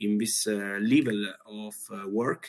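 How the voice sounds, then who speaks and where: This is a man's voice. He talks at a very slow pace. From Italy. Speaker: chef. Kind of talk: presentation. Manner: halting.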